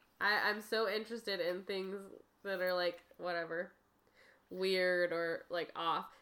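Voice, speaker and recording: Speaking at a fairly slow pace, a woman keeps a medium pitch and a monotone, flat intonation. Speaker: podcast co-host. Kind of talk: casual chat, joking. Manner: playful, laughing.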